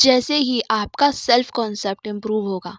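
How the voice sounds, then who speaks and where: A woman's voice with lively intonation. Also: dry, close sound with no echo. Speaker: psychotherapist and mindset coach. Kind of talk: advice monologue answering viewer questions. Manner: conversational, direct address.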